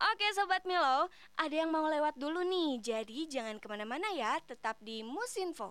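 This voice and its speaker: A woman's high-pitched voice with very wide pitch swings and hardly any pauses. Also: moderate pace. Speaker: radio host. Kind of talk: casual radio presenting. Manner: animated.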